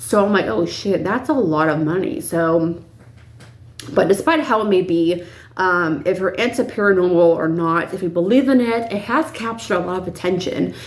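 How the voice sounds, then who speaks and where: Lively intonation rings out with audible room echo around the voice. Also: woman, medium pitch for a woman, moderate pace. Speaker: YouTuber, paranormal storyteller. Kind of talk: casual vlog storytelling. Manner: filler-heavy, rambling.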